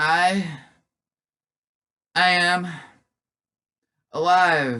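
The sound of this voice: A croaky, put-on character voice at middle pitch comes through with audible echo.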